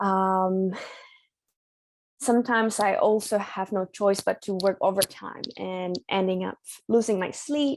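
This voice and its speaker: A woman with a non-native accent at a medium pitch, ordinary pitch variation and a fairly slow pace, long, frequent pauses throughout, her sound dry and close with no echo over a quiet background. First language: not English. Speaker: migraine patient sharing experience. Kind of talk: support group sharing. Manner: hesitant.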